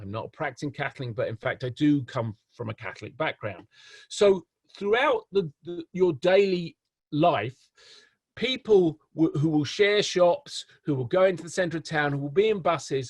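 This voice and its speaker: Speaking with an English accent, a man uses a fairly high pitch and lively intonation at a moderate pace, with big swings in loudness. The sound is dry and close with no echo, over a quiet background. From England. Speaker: professor. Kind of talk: lecture. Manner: hesitant, many repetitions and fillers.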